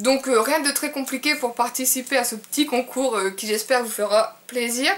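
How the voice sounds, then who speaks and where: With noticeable background noise, a woman speaks at a high pitch and a moderate pace, with ordinary pitch variation. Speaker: beauty vlogger. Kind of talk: casual vlog to camera. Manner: hesitant with many fillers.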